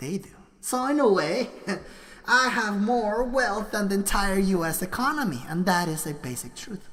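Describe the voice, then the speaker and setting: Amid noticeable background noise and audible room echo, a woman at a medium pitch moves through very wide pitch swings. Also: moderate pace. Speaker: livestreamer. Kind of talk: casual livestream monologue. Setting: live stream at computer.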